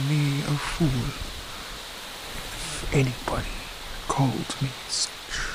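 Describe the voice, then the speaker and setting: A soft-spoken voice. Noticeable background noise is audible behind it. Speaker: narrator of fiction audio. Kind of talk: soft-spoken ambience reading of old-fashioned love letters. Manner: soft-spoken, tender.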